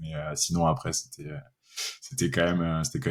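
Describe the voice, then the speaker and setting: This man has a very deep, low pitch. The recording is very clean, with a silent background. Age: 30s. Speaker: software developer. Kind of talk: interview. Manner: hesitant, many fillers.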